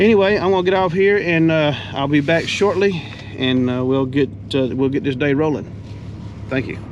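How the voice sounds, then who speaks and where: A moderate pace in a south Georgia accent, amid noticeable background noise and audible room echo. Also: man, fairly high pitch for a man. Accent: Southern US (south Georgia). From US South, south Georgia. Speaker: heavy equipment business owner. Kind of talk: casual vlog narration. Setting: outdoors at job site. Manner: halting, many fillers.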